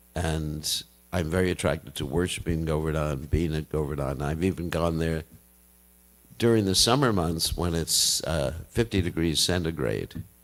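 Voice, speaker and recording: Very deep and low, a man's voice carries vocal fry and ordinary pitch variation at a moderate pace, in a very clean recording with a silent background. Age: 70s. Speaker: Hare Krishna monk and spiritual teacher. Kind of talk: religious talk to devotees.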